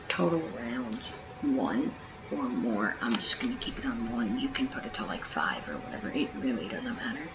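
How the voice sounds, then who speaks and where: The voice is quiet and moves at a moderate pace, with noticeable background noise behind it. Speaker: gaming YouTuber. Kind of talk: tutorial. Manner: casual, hesitant with many ums.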